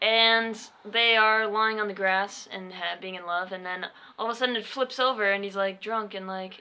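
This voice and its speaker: Speaking at a moderate pace and a medium pitch, a woman mumbles in a bright, sharp tone with big swings in loudness. Her intonation stays fairly even. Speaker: podcast co-host. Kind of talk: casual chat. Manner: mumbling. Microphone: poorly placed mic, quiet.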